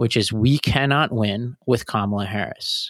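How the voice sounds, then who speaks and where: A man with an American accent and a medium pitch talks in a plain, everyday voice with ordinary pitch variation, dry and close with no echo on a very clean recording against a silent background. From Tennessee, US South. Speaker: podcast host. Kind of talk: casual news discussion podcast.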